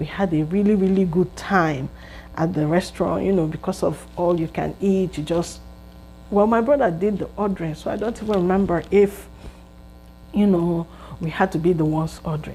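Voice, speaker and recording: Speaking with a Nigerian accent, a woman with a fairly low pitch keeps a moderate pace and ordinary pitch variation. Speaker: vlogger. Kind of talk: casual storytelling monologue.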